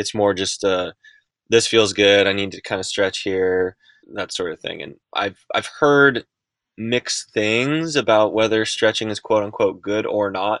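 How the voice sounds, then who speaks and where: In a normal speaking voice, a man talks at a fairly slow pace with fairly low pitch, ordinary pitch movement and big swings in loudness, the sound dry and close with no echo. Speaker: professional mountain bike and gravel racer. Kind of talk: interview.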